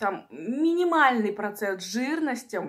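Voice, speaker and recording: The background stays quiet as a woman talks. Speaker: eating-video creator. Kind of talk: casual vlog chat. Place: home room. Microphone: phone near.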